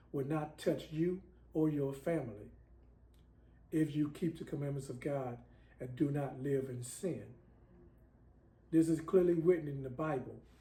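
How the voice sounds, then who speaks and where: A man's somewhat breathy, dark, mellow voice, fairly high in pitch, with fairly even intonation. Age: 60s. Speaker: self-styled prophet, religious video maker. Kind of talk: religious monologue to camera.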